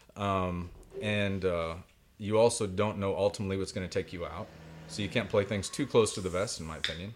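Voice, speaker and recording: In a Midwestern US accent, a man speaks with a fairly low pitch and fairly even intonation. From Indiana (Greenwood). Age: 40s. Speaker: poet. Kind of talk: casual chat.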